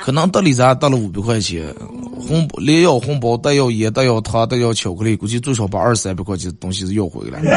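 A man with a Northeastern Chinese accent, medium-pitched, very fast and animated, with lively intonation and noticeable background noise. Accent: Northeastern Mandarin dialect. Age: 30s. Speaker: radio host. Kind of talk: casual comedic radio talk show. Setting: radio studio, also livestreamed.

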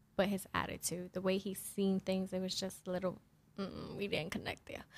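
Here is a woman with a normal speaking voice and a medium pitch. She talks at a moderate pace. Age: 20s. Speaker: podcast guest. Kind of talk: casual chat. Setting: studio.

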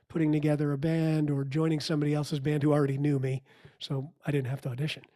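A dark, mellow tone with an American accent on a very clean recording with a silent background. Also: man. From outside New York City. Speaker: business coach and musician. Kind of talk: casual interview.

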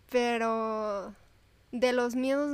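Speaking very slowly, the woman holds a fairly high pitch in a monotone, flat intonation. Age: 20s. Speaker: medical student. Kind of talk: casual chat.

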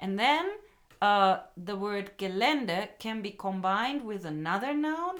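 At a very slow pace, a woman speaks in a medium pitch with lively intonation. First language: German (speaking Japanese). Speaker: English school owner and teacher. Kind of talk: casual chat.

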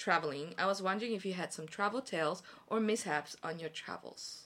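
This woman has a bright, sharp tone and a medium pitch. She speaks at a fairly quick pace with ordinary pitch variation. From overseas Korean. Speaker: teacher. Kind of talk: casual chat. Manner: animated.

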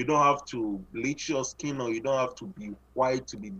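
A man with a Ghanaian accent speaks at a medium pitch, his intonation lively. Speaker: photographer and filmmaker. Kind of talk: casual interview. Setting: video call.

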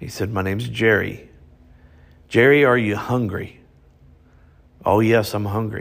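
Fairly even in intonation, a man with a fairly low pitch speaks at a moderate pace. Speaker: podcast host and motivational speaker. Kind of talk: storytelling preacher-style lesson, recounting grandfather's story. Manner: preacherly, exhorting, warm.

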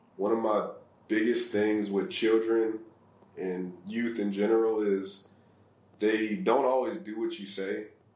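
With an American accent, the speaker talks at a fairly slow pace with long, frequent pauses and ordinary pitch variation, and audible room echo surrounds the voice. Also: man. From US Midwest, Ohio (Akron inner city). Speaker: real estate investor and charity founder. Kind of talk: interview.

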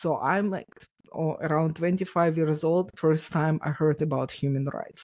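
A woman with a Russian accent speaks at a fairly slow pace. Her pitch is very deep for a woman, and her intonation stays fairly even. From Ukraine. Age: 40s. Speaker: author and abuse survivor. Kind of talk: testimony.

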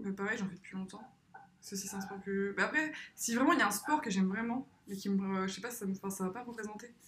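Against noticeable background noise, a woman speaks very fast at a medium pitch with ordinary pitch variation. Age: 20s. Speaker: motion design student. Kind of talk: casual chat.

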